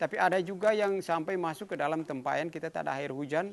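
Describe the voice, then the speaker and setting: A man talks at a very fast pace, his fairly high pitch showing ordinary variation. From Haruku island, Central Maluku, Indonesia. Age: 60s. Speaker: traditional village guardian and environmental conservationist. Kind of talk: interview answer. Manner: casual, hesitant.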